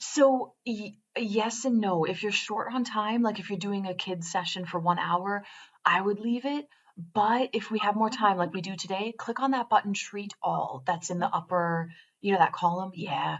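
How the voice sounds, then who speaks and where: A woman talks in an ordinary speaking voice at a medium pitch. Her pace is moderate and her pitch variation ordinary. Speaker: quantum biofeedback trainer. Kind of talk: tutorial.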